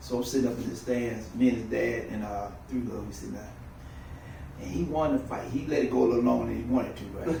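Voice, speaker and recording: A man rattles along at a very fast pace amid noticeable background noise and audible room echo. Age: 60s. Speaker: drag racer and father. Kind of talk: casual chat. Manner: animated.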